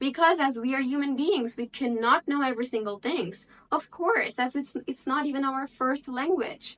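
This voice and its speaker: A woman speaks at a high pitch and a moderate pace, with ordinary pitch variation. Noticeable background noise runs behind her. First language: Bengali. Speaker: English-speaking tutor. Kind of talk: tutorial. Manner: casual, conversational.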